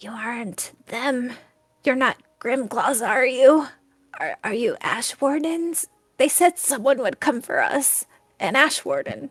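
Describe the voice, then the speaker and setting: This woman does a put-on character voice, high-pitched and raspy. She talks fairly slowly with lively intonation. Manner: fearful.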